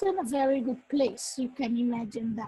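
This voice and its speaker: Her pace moderate, a woman talks in a Dutch accent with ordinary pitch variation. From Netherlands and Suriname. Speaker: workshop facilitator. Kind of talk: workshop talk with personal testimony.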